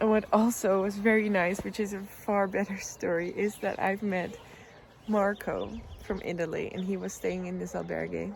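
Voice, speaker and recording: A woman with a Dutch accent talks at a moderate pace. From Netherlands. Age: 20s. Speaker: travel vlogger. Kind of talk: vlog monologue. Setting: outdoors on a bench.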